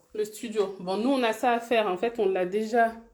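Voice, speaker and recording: A moderate pace with ordinary pitch variation. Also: woman. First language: Bambara (speaking French). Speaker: real estate investor and vlogger. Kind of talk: casual live stream walkthrough. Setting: on site in rental studio. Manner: casual, hesitant with fillers.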